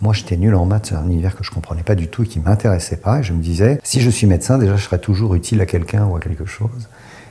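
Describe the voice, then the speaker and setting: Talking very fast with hardly any pauses, a man uses a fairly low pitch. His pitch variation is ordinary. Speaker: author and doctor. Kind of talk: interview. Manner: hesitant.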